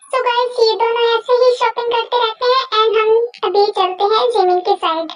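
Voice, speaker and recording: At a moderate pace, a woman talks at an extremely high pitch with fairly even intonation. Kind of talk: casual fan-story narration. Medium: read story. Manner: chatty, direct to viewers.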